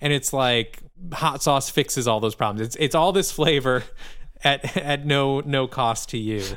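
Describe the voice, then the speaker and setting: Here a man speaks in a Midwestern US accent at a fairly slow pace. His voice is fairly high, with ordinary pitch variation. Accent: US Midwest. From Michigan, suburb of Lansing. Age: 30s. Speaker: musician and podcast co-host. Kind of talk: casual chat. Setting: remote call from a hotel lobby.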